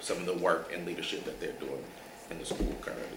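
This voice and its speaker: An American accent amid noticeable background noise and audible room echo. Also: man. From Milwaukee, Wisconsin. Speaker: nonprofit education director. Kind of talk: interview.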